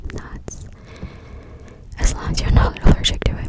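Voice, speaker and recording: A woman whispers in a breathy voice. Noticeable background noise sits behind her. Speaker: ASMR creator. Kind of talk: ASMR talk to camera. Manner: breathy, whispering, close-up.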